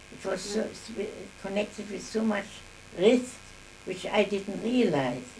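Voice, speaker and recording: A woman at medium pitch and a fairly slow pace, with lively intonation, big swings in loudness, long, frequent pauses and noticeable background noise. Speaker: grandmother telling her life story. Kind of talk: oral history interview answer. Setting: home recording of an interview.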